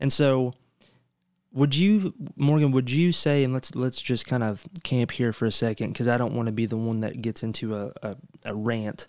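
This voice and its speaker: A man with a plain, everyday voice speaks at medium pitch and a moderate pace, using ordinary pitch variation. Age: 20s. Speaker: podcast host. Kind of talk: casual chat.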